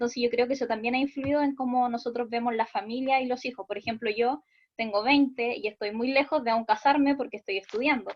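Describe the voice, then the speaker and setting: Very fast and high in pitch, a woman speaks with fairly even intonation. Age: 20s. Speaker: student in online course. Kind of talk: class discussion comment.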